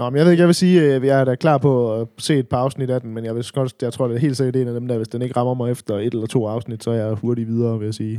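At a very fast pace, a man speaks in a dark, mellow tone with ordinary pitch variation. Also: medium pitch for a man. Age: 30s. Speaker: podcast co-host. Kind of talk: casual chat.

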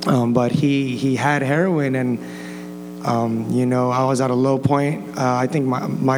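The man talks at a medium pitch with fairly even intonation. Audible room echo and noticeable background noise surround his voice. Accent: American. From Los Angeles County, California. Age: 20s. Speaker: church student sharing testimony. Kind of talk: personal testimony before a congregation. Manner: casual, halting with repetitions and 'like'.

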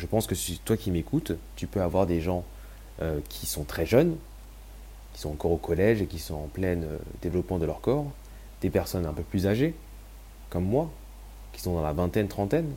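At a moderate pace, a man speaks in a very deep, low voice with a dark, mellow tone and vocal fry. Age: 20s. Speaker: podcast host sharing personal story. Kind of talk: personal testimony monologue.

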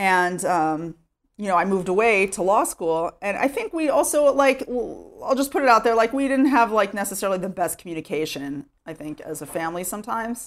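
With a slight Texas accent, a woman of medium pitch speaks at a fairly quick pace with very wide pitch swings, in a very clean recording with a silent background. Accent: American English, light Texas. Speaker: immigrant to Israel. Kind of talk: interview. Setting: at home. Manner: casual, filler-heavy.

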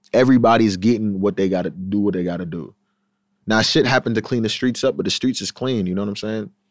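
In a very clean recording with a silent background, a man with a Long Island accent speaks very fast in a fairly low voice with ordinary pitch variation. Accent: Long Island New York. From Long Island, New York. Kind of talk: casual chat.

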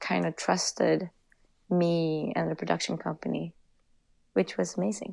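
A woman speaks in a Swedish accent, fairly low in pitch, with ordinary pitch variation. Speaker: commercial director. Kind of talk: interview. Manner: halting.

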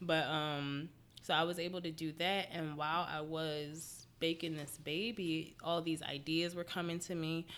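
A woman speaks at a moderate pace in a fairly low pitch, her intonation monotone and flat. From Philadelphia, US. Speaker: yoga instructor. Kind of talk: casual chat.

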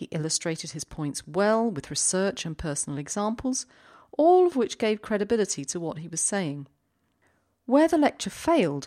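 A woman with a dark, mellow tone speaks at medium pitch, her pitch swinging very widely. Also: very clean recording, silent background. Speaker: career coach podcast host. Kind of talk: scripted monologue.

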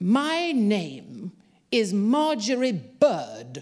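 A woman does a put-on character voice at a medium pitch with very wide pitch swings. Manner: bellowing, loud.

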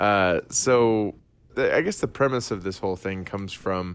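A normal speaking voice from a man, fairly low in pitch with lively intonation, in a very clean recording over a silent background. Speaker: podcast host. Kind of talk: casual banter podcast. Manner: laughing, joking.

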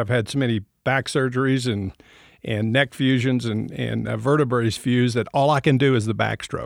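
A man with an American accent and a normal speaking voice talks at medium pitch and a moderate pace. The recording is very clean and dry, close with no echo, over a silent background. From West Texas. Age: 60s.

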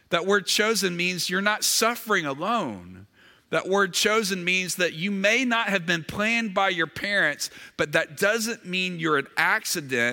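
A man with a high pitch uses a raised, projected voice with a bright, sharp tone. He speaks fairly slowly at very even loudness, on a very clean recording with a silent background. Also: ordinary pitch variation. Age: 40s. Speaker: pastor. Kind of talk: sermon.

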